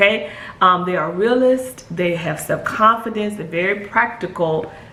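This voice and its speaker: A woman speaks at a moderate pace with ordinary pitch variation. The room echo is audible and background noise is noticeable. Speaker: spiritual guide and numerologist. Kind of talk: video monologue. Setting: at home, puppy crate nearby. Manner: soft, hushed.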